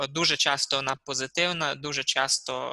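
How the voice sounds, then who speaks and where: Here a man speaks at a fairly slow pace, fairly high in pitch, with monotone, flat intonation. His tone is bright and sharp, and the sound is dry and close with no echo. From Transcarpathia, Ukraine. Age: 20s. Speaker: interviewee. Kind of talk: interview. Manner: halting.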